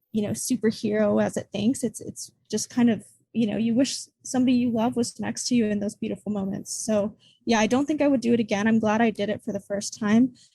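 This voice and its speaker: A fairly high-pitched, somewhat breathy woman's voice with an American accent, a dark, mellow tone, fairly even intonation and a fairly quick pace. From United States. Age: 20s. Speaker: student and travel podcaster. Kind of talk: podcast interview.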